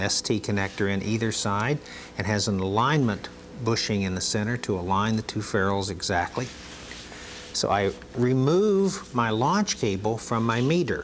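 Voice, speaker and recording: Over light background noise, a man talks at a moderate pace and medium pitch with ordinary pitch variation. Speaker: training video narrator. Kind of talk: instructional demonstration narration, vintage training film. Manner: calm, measured, formal explaining; clear step-by-step, didactic pacing.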